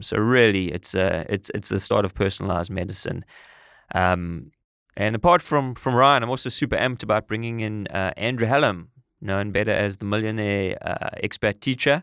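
A man with a South African accent, fairly low pitch, ordinary pitch variation and moderate pace, in a very clean recording with a silent background and a dry, close sound with no echo. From South Africa (East London, Eastern Cape). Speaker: podcast co-host and entrepreneur. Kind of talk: casual chat. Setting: studio. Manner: halting, many fillers.

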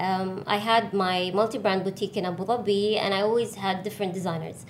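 With audible room echo, a woman talks at medium pitch and moderate pace with fairly even intonation. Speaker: artist and designer. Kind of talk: casual interview.

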